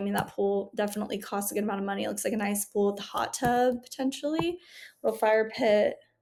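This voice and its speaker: In an unremarkable speaking voice, a woman talks at a fairly quick pace with a fairly high pitch and ordinary pitch variation. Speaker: real estate agent. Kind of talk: casual walkthrough of home listings. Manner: casual, upbeat.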